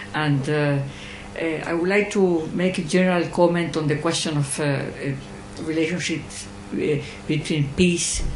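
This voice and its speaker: Someone with a Spanish accent speaks with long, frequent pauses against noticeable background noise. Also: moderate pace. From Chile. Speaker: audience member asking a question. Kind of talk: Q&A question after lecture. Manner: halting, many hesitations.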